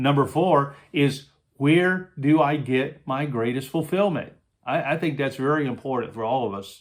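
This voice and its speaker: Fairly high in pitch, a man speaks at a moderate pace with ordinary pitch variation. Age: 60s. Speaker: leadership coach and minister. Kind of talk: monologue talk on leadership. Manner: conversational with frequent hesitations.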